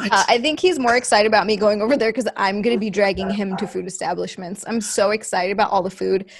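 A woman speaks very fast with hardly any pauses and ordinary pitch variation. Light background noise is present. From Hawaii. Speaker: gamer and show host; gamer, show host. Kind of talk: casual chat. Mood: playful, chatty. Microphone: studio mic.

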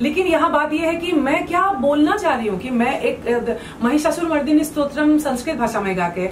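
Amid audible room echo and light background noise, a woman speaks at a moderate pace with lively intonation. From Assam, India. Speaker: folk singer. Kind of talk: interview answer. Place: home room. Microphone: handheld.

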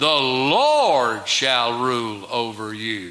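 With audible room echo, a man speaks in an animated tone. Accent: American. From US South. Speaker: preacher. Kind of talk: sermon. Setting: church. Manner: animated, emphatic preaching with rhetorical questions. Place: church. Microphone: podium.

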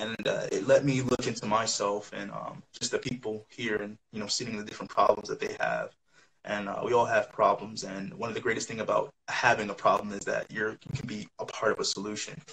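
Over light background noise, a man with an American accent talks at a fairly quick pace. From New York. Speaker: university student intern; interviewee. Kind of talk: interview. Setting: live stream video call. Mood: calm reflective. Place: home room. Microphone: video call.

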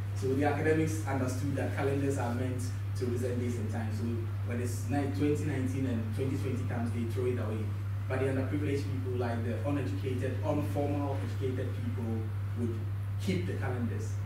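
Over noticeable background noise and audible room echo, a man speaks fairly quickly in a fairly low, monotone voice with flat intonation. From Ghana. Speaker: visual artist. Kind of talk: symposium talk about own work. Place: classroom.

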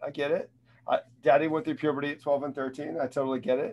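A man talks at a very fast pace with ordinary pitch variation. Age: 40s. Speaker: sales trainer and motivational speaker. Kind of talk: interactive online sales training talk. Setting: video call. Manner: animated. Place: home room.

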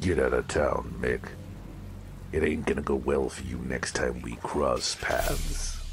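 A man's put-on character voice at a fairly slow pace, against loud background noise. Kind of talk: hard-boiled noir detective. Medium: audio drama. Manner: menacing, deadpan.

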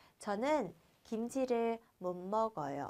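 A woman talks with lively intonation and an animated tone. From Vietnam. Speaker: Korean language teacher. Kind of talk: lecture. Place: studio.

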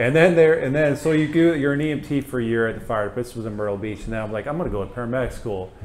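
In a northern US accent, the speaker races along at a very fast pace with hardly any pauses over light background noise. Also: man, ordinary pitch variation. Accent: northern US, slightly Canadian-sounding. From US Northeast (Pennsylvania). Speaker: food truck owner and flight medic. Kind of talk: casual interview. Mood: relaxed, friendly. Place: studio. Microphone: lapel.

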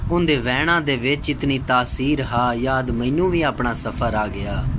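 A man's ordinary pitch variation comes through noticeable background noise. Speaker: voice-over artist. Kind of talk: poetry reading. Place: home room. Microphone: phone near.

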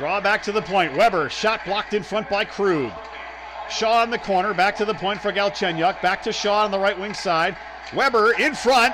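A man talks at a fairly quick pace in an animated tone, his pitch high for a man. Noticeable background noise runs behind him. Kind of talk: live commentary. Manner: fast-paced, rapid-fire play-by-play delivery; animated, rising excitement on goals.

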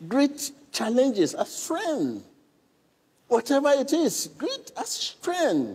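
A man speaking at a very slow pace with very wide pitch swings. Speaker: preacher giving a sermon. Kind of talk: sermon to a congregation and viewers. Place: church.

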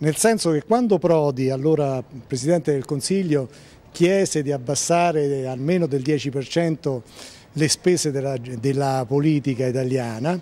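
A man with a fairly high pitch speaks at a fairly slow pace. His tone is dark and mellow, and his pitch varies in an ordinary way. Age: 60s. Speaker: local politician. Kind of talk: interview.

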